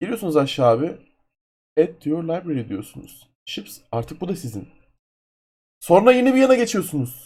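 A man with a high pitch speaks at a moderate pace, taking long, frequent pauses. His pitch swings very widely and his loudness swings a lot, in a very clean recording with a silent background. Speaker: gaming YouTuber. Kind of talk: screen-capture tutorial. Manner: casual, loose.

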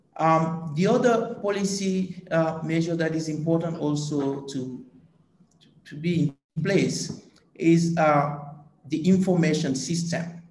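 Very slowly and at a fairly high pitch, a man speaks with ordinary pitch variation, with audible room echo and light background noise. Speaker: agricultural policy economist. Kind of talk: panel discussion. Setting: video call. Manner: hesitant, many filler sounds. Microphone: video call.

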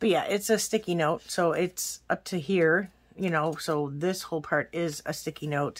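Speaking at a fairly slow pace, a woman with an unremarkable speaking voice keeps a fairly low pitch and fairly even intonation. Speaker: planner haul vlogger. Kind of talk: casual vlog chat. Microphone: phone near.

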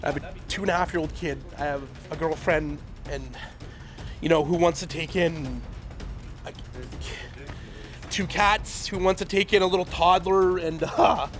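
A man speaks in a high voice with fairly even intonation at a moderate pace, leaving long, frequent pauses while music plays clearly in the background. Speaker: evacuated apartment resident. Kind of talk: news interview answer. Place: street.

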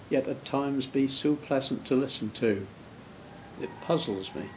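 A man speaks with a Norfolk accent. Light background noise sits behind him. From Norfolk, England. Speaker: field recordist. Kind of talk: nature soundscape narration. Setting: outdoors. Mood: quiet, reflective.

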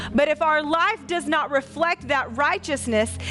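Faint music plays behind a woman who talks at a moderate pace in a high voice. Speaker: pastor. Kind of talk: sermon. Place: church. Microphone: headset.

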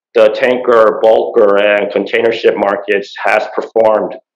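Amid audible room echo and a quiet background, a man speaks at a fairly slow pace. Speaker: panel moderator. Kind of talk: moderated panel introduction. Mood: formal, measured. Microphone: video call.

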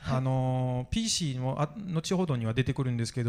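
Speaking with a French accent, the man has a medium pitch and ordinary pitch variation. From France. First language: French (speaking Japanese). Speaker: video game historian and author. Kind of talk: conference panel discussion. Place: hall. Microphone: handheld.

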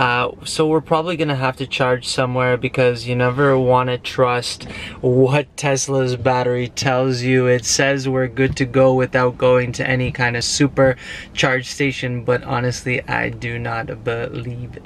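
The speech moves fairly slowly, monotone and flat. The sound is dry with no echo, with light background noise. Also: man. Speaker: vlogger. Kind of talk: casual vlog chat. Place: car. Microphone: phone near.

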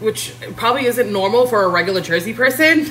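Light background noise sits behind a woman with a New York accent and a fairly high pitch. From Queens, New York. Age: 30s. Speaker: home cook livestreamer. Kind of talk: casual cooking livestream. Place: kitchen. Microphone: phone near.

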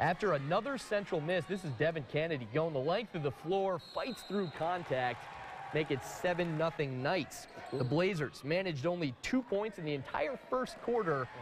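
With an American accent, a man speaks at a moderate pace in a high pitch with lively intonation over noticeable background noise. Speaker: sports reporter. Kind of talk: live-style sports highlights commentary over game footage. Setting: studio. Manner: animated, punchy, upbeat.

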